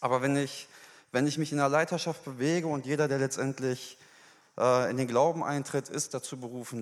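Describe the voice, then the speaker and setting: The delivery comes at a fairly quick pace with ordinary pitch variation. It is an unremarkable speaking voice. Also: man. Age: 20s. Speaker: church member giving testimony. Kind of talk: sermon testimony. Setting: church stage.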